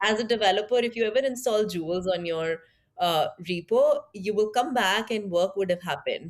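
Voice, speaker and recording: Speaking at a medium pitch with an Indian accent, a woman uses lively intonation. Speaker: tech product leader. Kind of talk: interview conversation.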